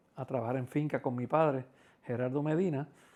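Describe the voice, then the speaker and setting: A man speaks with a Puerto Rican accent at a medium pitch. His tone is dark and mellow, with fairly even intonation. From Puerto Rico, Quebradillas. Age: 60s. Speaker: interviewee, community figure. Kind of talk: life-story interview. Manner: hesitant, many fillers.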